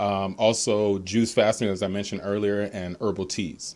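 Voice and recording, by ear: At a moderate pace, a man speaks with fairly low pitch, a slightly mellow tone and little pitch movement.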